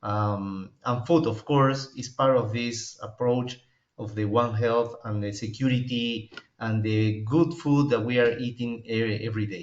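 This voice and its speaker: At a fairly slow pace, a man of medium pitch speaks with a Peruvian accent and fairly even intonation. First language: Spanish. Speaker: professor and epidemiologist. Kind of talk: webinar lecture. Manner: halting.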